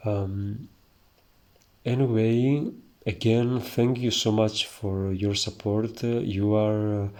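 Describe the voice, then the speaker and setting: A man with a strong Greek accent, a dark, mellow tone and fairly low pitch, at a very slow pace with fairly even intonation. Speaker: iconography teacher. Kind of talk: tutorial. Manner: hesitant, many filler sounds.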